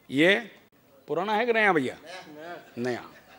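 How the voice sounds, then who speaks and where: A man's voice over crowd noise in the background. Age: 60s. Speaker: company founder. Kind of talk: motivational speech.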